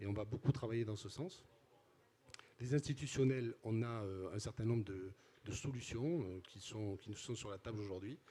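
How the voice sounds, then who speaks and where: A man with a southern French accent talks at a medium pitch and a moderate pace, with ordinary pitch variation. His loudness swings widely, and he takes long, frequent pauses. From southern France (Midi-Pyrénées / Languedoc-Roussillon). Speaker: company CEO. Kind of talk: interview. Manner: hesitant, many fillers and repetitions.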